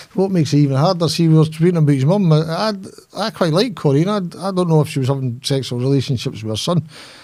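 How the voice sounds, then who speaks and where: Very fast and animated, a man with a strong Scottish accent talks at a fairly high pitch with ordinary pitch variation. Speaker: former lawyer, author. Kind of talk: interview. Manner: animated, halting.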